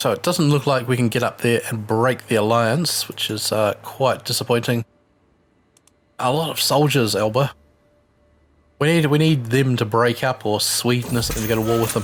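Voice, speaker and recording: A man's voice sits at a medium pitch. He moves along at a moderate pace with ordinary pitch variation. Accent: New Zealand. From New Zealand. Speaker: gaming video creator. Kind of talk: let's play commentary. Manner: casual, with filler words.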